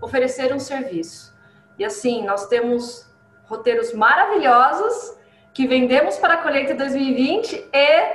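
A woman with a caipira accent speaks at a fairly slow pace in a high voice with very wide pitch swings. Audible room echo surrounds her. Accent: caipira accent (rolled r), proud of it. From interior of São Paulo state (Paulínia). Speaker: coffee journalist and communicator. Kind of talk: interview. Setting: video call. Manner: animated. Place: home room.

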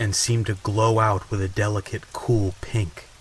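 A man's fairly low, soothing, theatrical voice in a flat monotone at a fairly slow pace, with noticeable background noise. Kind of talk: dramatic audiobook-style narration of a gothic novel, read aloud with rain sounds. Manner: slow, hushed and atmospheric, building suspense with a measured, theatrical pace; soothing and relaxing, as promised by the rain-backed narration.

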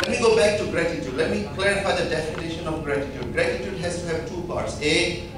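A man speaks at a fast pace in a fairly high pitch, with ordinary pitch variation, clear background noise and audible room echo.

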